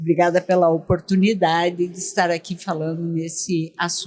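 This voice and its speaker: A woman is speaking. She talks with a southern Brazilian accent. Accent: southern Brazilian (gaúcho). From Rio Grande do Sul, Brazil. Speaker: dentistry education expert. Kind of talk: podcast interview. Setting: at a dental congress event.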